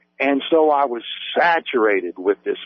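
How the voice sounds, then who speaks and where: With an Appalachian accent, a man speaks at a fairly slow pace using lively intonation. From West Virginia, US. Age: 50s. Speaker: author. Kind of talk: radio interview.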